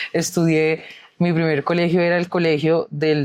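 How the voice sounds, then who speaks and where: A woman talks in a very deep, low pitch. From Colombia, Bogotá (south, San Cristóbal). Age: 20s. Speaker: youth pension activist and social media creator. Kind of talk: interview.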